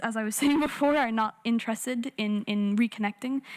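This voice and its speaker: A woman with an Irish accent, fairly high pitch and fairly even intonation. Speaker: youth climate activist. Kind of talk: panel discussion.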